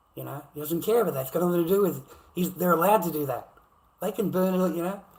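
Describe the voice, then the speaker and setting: A man with an Australian accent, fairly high-pitched and fairly quick. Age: 50s. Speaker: livestreamer. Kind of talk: angry rant on a livestream. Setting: live stream. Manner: animated, heated.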